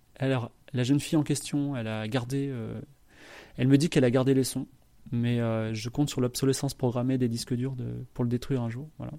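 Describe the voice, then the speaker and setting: With a medium pitch and fairly even intonation, a man speaks in a dark, mellow tone. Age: 40s. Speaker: podcast host and author. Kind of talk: solo podcast monologue. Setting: live stream recording. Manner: hesitant, many fillers.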